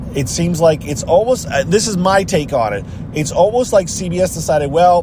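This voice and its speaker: A man speaks amid audible room echo and noticeable background noise. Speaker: reality TV commentary vlogger. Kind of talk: casual vlog monologue. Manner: mumbling, distracted.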